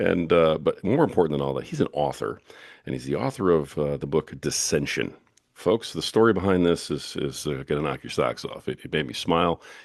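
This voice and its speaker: Very deep and low, a man's voice carries vocal fry. He talks at a fairly quick pace with lively intonation. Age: 50s. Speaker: podcast host and author. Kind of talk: interview. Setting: podcast.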